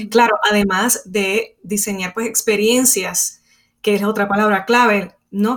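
The woman talks very slowly, her medium pitch carried by fairly even intonation. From Puerto Rico. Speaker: podcast host, instructional designer. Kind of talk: interview.

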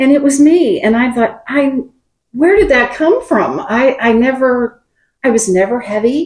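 At a fairly slow pace, the voice holds very even loudness while the intonation stays lively. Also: woman, high pitch for a woman. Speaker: retired nurse. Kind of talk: casual chat.

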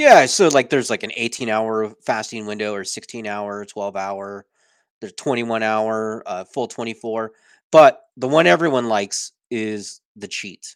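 An unremarkable speaking voice from a man, medium in pitch with ordinary pitch variation, fairly slow in pace, with big swings in loudness, a dry, close sound with no echo and a very clean recording over a silent background. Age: 40s. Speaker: weight loss survivor and speaker. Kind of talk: interview. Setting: home office.

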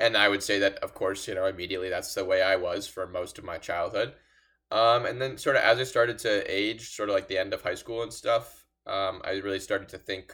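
A man with an American accent at a fairly quick pace, in a very clean recording with a silent background. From Los Angeles. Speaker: college student, Democrat. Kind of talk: casual discussion.

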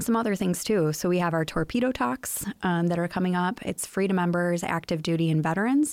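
In an American accent, a woman talks at a very fast pace with hardly any pauses. Her pitch is medium and her loudness very even. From US Midwest, Chicago area. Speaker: museum executive director. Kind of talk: casual interview.

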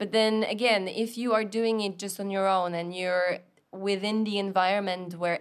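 A woman's medium-pitched voice with a Polish accent, fairly slow pace and fairly even intonation, on a very clean recording with a silent background. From Poland. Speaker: scuba dive instructor trainer. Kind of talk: casual chat.

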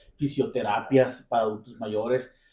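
Somewhat breathy, a man talks at a moderate pace in a dark, mellow tone. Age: 40s. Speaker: podcast host. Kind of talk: casual chat.

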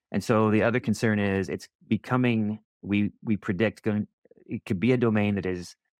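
A man's fairly low voice with an American accent, moderately paced with fairly even intonation, an ordinary speaking voice, dry and close with no echo. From US Southwest, Roswell, New Mexico. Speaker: defense research program director, Air Force veteran. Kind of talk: podcast interview. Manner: frequent fillers and repetitions.

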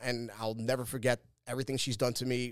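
A man of medium pitch speaks with a New York accent. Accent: New York City. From Staten Island, New York. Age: 40s. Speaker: podcast host and former pro wrestler. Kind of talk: casual solo monologue. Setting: studio.

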